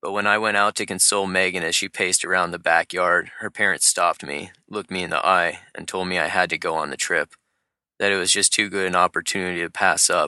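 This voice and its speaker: A man's very fast, monotone speech with flat intonation, very deep and low in pitch, bright and sharp in tone, against a quiet background. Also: dry, close sound with no echo. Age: 30s. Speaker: climber and writer. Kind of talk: personal essay read aloud.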